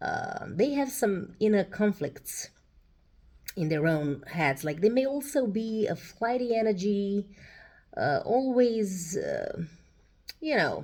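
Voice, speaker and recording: Long, frequent pauses break up a woman's very slow speech. Her fairly high pitch moves in very wide swings. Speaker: tarot reader. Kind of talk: tarot reading monologue. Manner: hesitant, many fillers.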